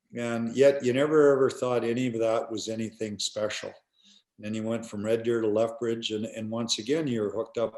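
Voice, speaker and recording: In a very clean recording with a silent background, a man with a medium pitch talks at a fairly quick pace with a Canadian prairie accent. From Canada, rural Alberta. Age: 60s. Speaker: retired hockey player and coach. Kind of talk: interview. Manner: halting, repetitive fillers.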